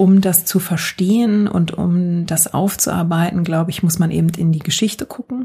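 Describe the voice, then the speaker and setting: Fairly low-pitched woman's voice, fairly slow pace, fairly even intonation. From Germany. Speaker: podcast guest living in the US. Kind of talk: casual chat.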